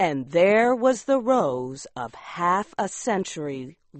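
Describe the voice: Someone reads aloud. The delivery is plain.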